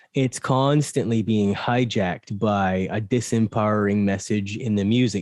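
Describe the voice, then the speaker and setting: Against a quiet background, a man speaks fairly slowly in a fairly low voice with ordinary pitch variation, the sound dry and close with no echo. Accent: slight Barbadian. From Barbados. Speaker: mindfulness and meditation coach. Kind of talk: casual chat.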